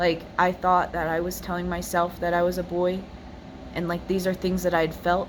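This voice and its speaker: A fairly low-pitched woman's voice with audible room echo. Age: 20s. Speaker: personal vlogger sharing faith story. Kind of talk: testimony. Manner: hesitant, many fillers.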